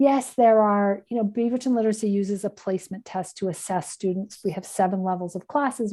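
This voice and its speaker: Speaking in a Canadian accent at a moderate pace, a woman has a fairly high pitch, a dark, mellow tone, ordinary pitch variation and a somewhat breathy quality, on a very clean recording with a silent background. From Canada. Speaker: ESOL tutor trainer. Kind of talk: workshop lecture.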